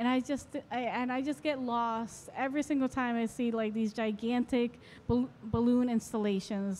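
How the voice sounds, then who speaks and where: Moderate pace with an American accent over light background noise. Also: woman. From Florida. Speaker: photographer. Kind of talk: interview. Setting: art fair. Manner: hesitant, filler-heavy. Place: hall. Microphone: handheld.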